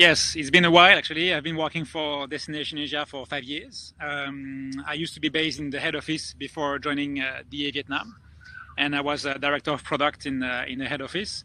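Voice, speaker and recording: A man's fairly high, bright and sharp voice in a strong French accent, flat and monotone. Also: fairly quick pace. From France. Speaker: travel company director. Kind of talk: casual chat.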